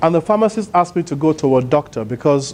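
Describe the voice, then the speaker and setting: A man talking at a very fast pace. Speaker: motivational speaker. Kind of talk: conference keynote speech. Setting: stage with audience. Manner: loud.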